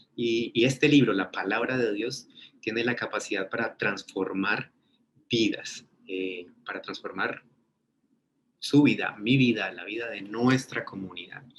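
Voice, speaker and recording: This man has a Colombian accent and a medium pitch with ordinary pitch variation. He talks at a fairly slow pace, and his loudness swings widely. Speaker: ministry teacher. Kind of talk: webinar lecture. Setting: online webinar.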